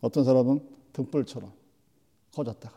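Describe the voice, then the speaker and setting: Dark, mellow male voice on a very clean recording with a silent background. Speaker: preacher. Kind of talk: sermon. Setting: church. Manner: animated, rhetorical, vivid; direct, exhorting the congregation.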